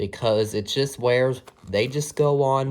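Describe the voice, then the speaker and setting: Speech at a fairly slow pace comes through in a very clean recording with a silent background. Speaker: hobbyist toy modder. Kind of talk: tutorial. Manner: loud; halting.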